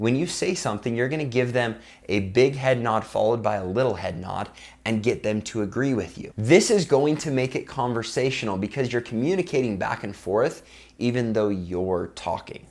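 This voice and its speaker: A man with an ordinary speaking voice at medium pitch, lively intonation and a moderate pace, on a very clean recording with a silent background. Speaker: youtuber giving sales and persuasion tips. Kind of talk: tutorial. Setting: talking to camera. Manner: upbeat, smiling.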